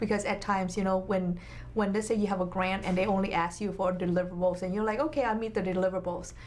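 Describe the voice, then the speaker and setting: With a Vietnamese accent, a woman speaks at a very fast pace and medium pitch, her intonation fairly even and her loudness very even, against audible room echo. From Vietnam, moved to US at eleven. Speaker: nonprofit health clinic executive. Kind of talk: interview. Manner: halting, many fillers.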